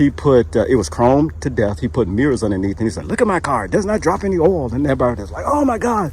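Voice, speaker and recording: Talking very fast with hardly any pauses, a man at medium pitch makes very wide pitch swings over noticeable background noise. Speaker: YouTube interviewer. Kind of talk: casual talk to camera.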